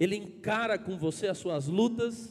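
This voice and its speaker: A man with a high pitch, ordinary pitch variation and a fairly slow pace. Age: 40s. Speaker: pastor. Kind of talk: sermon.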